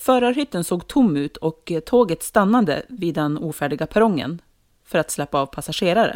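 At a moderate pace, a woman with a fairly low pitch makes very wide pitch swings in a dry, close sound with no echo, on a very clean recording with a silent background. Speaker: podcast co-host. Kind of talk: casual intro, then horror story reading.

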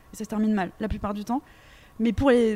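A woman speaks with a fairly high pitch in a monotone, flat intonation. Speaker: radio host. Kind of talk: interview. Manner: fast.

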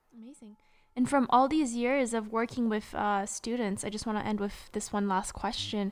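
A woman's fairly high, plain, everyday voice at a moderate pace, fairly even in intonation but with big swings in loudness, in a very clean recording with a silent background. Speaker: podcast host. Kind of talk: interview.

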